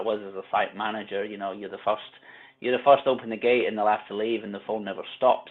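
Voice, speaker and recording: A man at a very fast pace, fairly low in pitch, with monotone, flat intonation. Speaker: life coach for tradespeople, former carpenter. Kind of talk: podcast interview, personal story. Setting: podcast.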